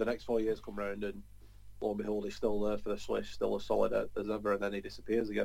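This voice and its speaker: A man with a North London accent at a very fast pace. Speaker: football podcast panelist. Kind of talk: casual banter.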